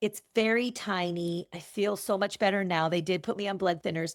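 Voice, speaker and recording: Her voice sits at a medium pitch with ordinary pitch variation, an unremarkable speaking voice captured in a very clean recording against a silent background. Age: 60s. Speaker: event business owner. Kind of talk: interview conversation.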